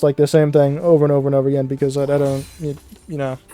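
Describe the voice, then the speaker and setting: A quiet man's voice over music in the background. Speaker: gaming YouTuber. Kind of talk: casual gameplay commentary. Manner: varies between quiet and loud; rambling, hesitant with many fillers. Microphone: volume peaks when loud, quiet when soft.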